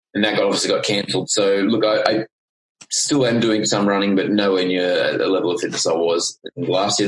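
A man with a strong Australian accent, very fast pace, and ordinary pitch variation. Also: very even loudness. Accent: broad Australian. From Queensland, Australia. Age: 30s. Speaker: life coach. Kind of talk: casual interview chat.

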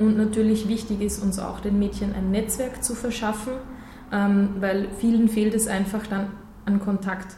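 Over noticeable background noise and audible room echo, a woman of medium pitch speaks at a fairly slow pace in a monotone, flat intonation. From Austria (Gmunden, Upper Austria). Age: 20s. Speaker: nonprofit vice president. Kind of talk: radio interview.

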